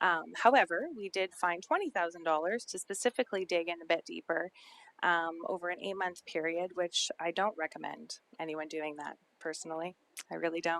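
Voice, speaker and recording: A woman with an unremarkable speaking voice talks at a moderate pace, her pitch fairly low and her intonation fairly even. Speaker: social planning presenter. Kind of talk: council presentation.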